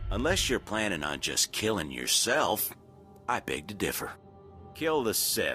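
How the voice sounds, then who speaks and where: A put-on character voice, drawling at a moderate pace with very wide pitch swings over clear background music. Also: man, fairly low pitch for a man. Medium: video game. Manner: swaggering, drawling, slangy.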